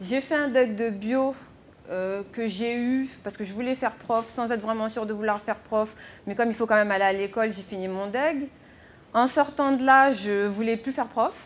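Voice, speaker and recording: A woman with a fairly high pitch, ordinary pitch variation, and a moderate pace. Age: 30s. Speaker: health and hygiene inspector. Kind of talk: conference talk. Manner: hesitant with fillers.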